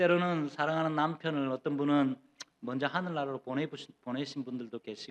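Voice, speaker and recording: A man talks at a fairly quick pace in an unremarkable speaking voice, with fairly high pitch and fairly even intonation. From Gyeongsang region, South Korea. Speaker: pastor. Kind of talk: sermon. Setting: church.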